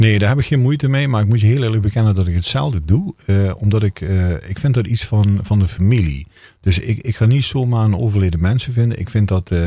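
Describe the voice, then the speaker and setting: A man's somewhat breathy voice with a dark, mellow tone and fairly low pitch, ordinary pitch variation, a very fast pace, and a very clean recording with a silent background. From Netherlands, Limburg (Brunssum). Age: 40s. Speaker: funeral director. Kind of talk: casual interview chat.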